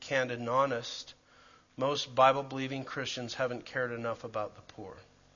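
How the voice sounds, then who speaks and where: This man talks fairly quickly at a medium pitch with flat, monotone intonation. His loudness swings a lot. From Canada, Calgary. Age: 50s. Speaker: preacher and church planter. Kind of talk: church class teaching. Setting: church with audience.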